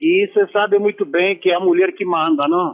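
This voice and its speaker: This man's intonation is lively. He keeps to a fairly slow pace. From Romania. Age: 60s. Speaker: former footballer. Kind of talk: radio interview.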